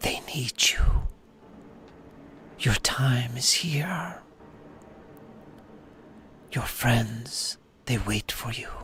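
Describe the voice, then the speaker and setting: In a put-on character voice, a man whispers at a very slow pace, leaving long, frequent pauses. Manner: whispering.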